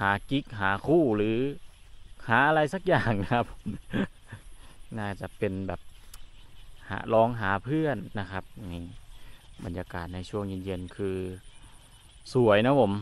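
This man has a fairly low pitch and ordinary pitch variation. The sound is dry with no echo. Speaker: rural vlogger. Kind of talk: casual vlog chat. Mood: relaxed, admiring. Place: open country. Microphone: phone near.

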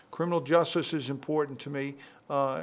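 A man speaks fairly slowly, his pitch varying in an ordinary way. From Boston area, Massachusetts. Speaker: political candidate; candidate. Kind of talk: TV interview. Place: shop. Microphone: handheld.

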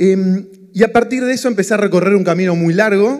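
A man with a Rioplatense accent, high-pitched, at a moderate pace with ordinary pitch variation, against a quiet background. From Argentina, Buenos Aires. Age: 40s. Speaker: economist and entrepreneur, speaker; speaker. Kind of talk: motivational talk. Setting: stage with audience. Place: stage. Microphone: handheld.

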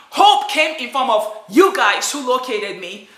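Lively in intonation, a woman speaks with audible room echo around her. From Nigeria. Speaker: vlogger. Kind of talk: personal vlog testimony. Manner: animated. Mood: emotional, grateful. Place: home room. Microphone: phone near.

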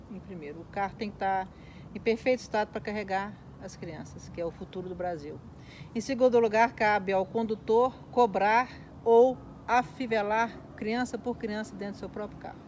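Against light background noise, a woman speaks at a moderate pace with fairly even intonation. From Minas Gerais, Brazil (Belo Horizonte); Minas Gerais, Brazil. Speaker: school van driver; interviewee. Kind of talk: casual interview. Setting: at a relative's home in São Paulo. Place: garden.

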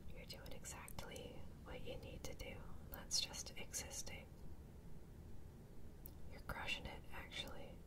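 Speech moves at a fairly slow pace against noticeable background noise. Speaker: ASMR creator. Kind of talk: ASMR mindfulness talk-down. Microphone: studio mic.

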